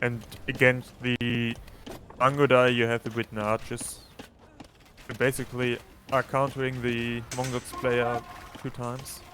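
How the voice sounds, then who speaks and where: Over noticeable background noise, the voice stays monotone and flat, with long, frequent pauses. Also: man, medium pitch for a man, fairly slow pace. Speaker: co-caster and tournament player. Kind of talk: live commentary.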